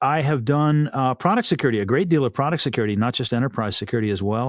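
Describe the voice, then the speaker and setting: A man talks at a very fast pace. He has a slight Texan accent. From Texas. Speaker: cybersecurity executive and podcast host. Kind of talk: podcast interview.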